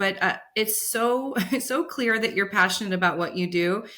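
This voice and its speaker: In a Californian accent, a woman speaks with an animated tone at a moderate pace. Her pitch is medium. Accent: General American (Californian). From US West Coast, San Francisco Bay Area. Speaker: podcast host. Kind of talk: interview. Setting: podcast recording.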